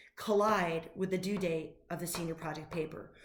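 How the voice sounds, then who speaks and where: An animated woman's voice carries audible room echo along with noticeable background noise. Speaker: high school teacher. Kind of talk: recorded class announcement. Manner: fast.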